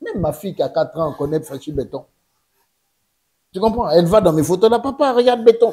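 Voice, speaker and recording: Talking at a very fast pace, a man uses lively intonation and a dark, mellow tone. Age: 60s. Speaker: politician, former presidential press director. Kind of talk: interview.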